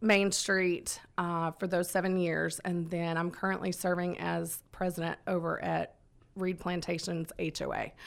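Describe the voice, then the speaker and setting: A woman with medium pitch and monotone, flat intonation is heard in a very clean recording with a silent background. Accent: Southern US. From Georgia, US South (Conyers). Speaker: city council candidate. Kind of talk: radio interview.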